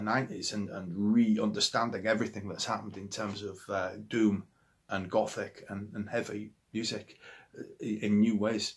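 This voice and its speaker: In a Yorkshire accent, a man speaks in an animated tone with big swings in loudness, on a very clean recording with a silent background. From Yorkshire, northern England. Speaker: musician. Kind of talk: interview monologue about favourite records. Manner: animated, with many hesitations and repetitions.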